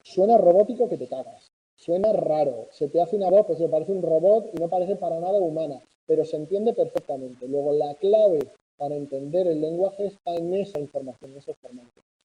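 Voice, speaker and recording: At a fairly quick pace, a high-pitched man speaks with ordinary pitch variation. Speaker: university lecturer. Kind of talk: lecture.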